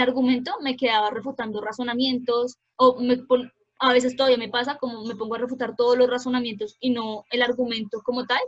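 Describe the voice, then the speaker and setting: With a high pitch and monotone, flat intonation, a woman talks at a fairly quick pace. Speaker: debate coach. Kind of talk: workshop lecture. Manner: fast.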